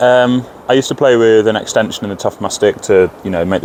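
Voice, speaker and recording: A man with a Lincolnshire accent, talking at a very fast pace in fairly even intonation. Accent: northern English (Lincolnshire). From northern England, Grimsby. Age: 20s. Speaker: ice hockey player. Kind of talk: interview. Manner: hesitant, many fillers.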